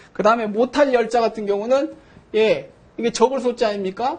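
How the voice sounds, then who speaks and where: Over noticeable background noise, a man talks at a moderate pace and high pitch. His intonation is lively. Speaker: professor. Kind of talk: lecture.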